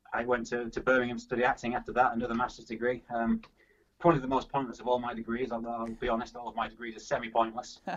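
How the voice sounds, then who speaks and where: Speaking very fast but with long, frequent pauses, a man with a Yorkshire accent uses a monotone, flat intonation at a medium pitch. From Yorkshire, England. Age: 30s. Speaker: athlete and actor. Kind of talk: casual interview chat.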